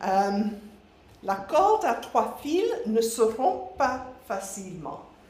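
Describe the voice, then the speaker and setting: Someone with a slight English accent speaks at a very slow pace with lively intonation. The recording has audible room echo and noticeable background noise. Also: woman, fairly high pitch for a woman. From England, Nottinghamshire. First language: English (speaking French). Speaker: missionary, ministry director. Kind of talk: church presentation.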